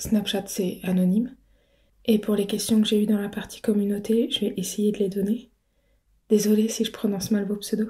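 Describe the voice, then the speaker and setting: A woman's somewhat breathy, dark and mellow voice moves at a moderate pace in monotone, flat intonation, with long, frequent pauses, on a very clean recording with a silent background. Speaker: audio roleplay creator. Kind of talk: casual Q&A talk. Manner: soft-spoken.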